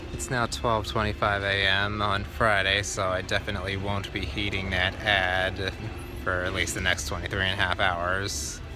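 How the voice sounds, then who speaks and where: A man's very deep, low voice at a fairly slow pace, fairly even in intonation, dry with no echo, and with clear music in the background. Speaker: truck driver vlogger. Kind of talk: casual vlog chat. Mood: calm, reflective, grateful. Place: station. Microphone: phone near.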